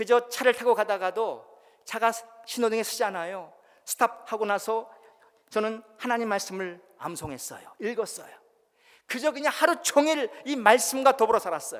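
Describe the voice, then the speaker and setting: Pausing long and often, a man with a high pitch speaks at a moderate pace with ordinary pitch variation. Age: 60s. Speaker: pastor and missionary. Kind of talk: sermon.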